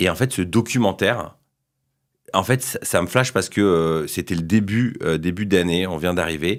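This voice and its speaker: Very deep and low in pitch, a man's voice moves at a moderate pace with ordinary pitch variation. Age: 30s. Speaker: entrepreneur. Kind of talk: podcast interview. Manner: hesitant, many fillers.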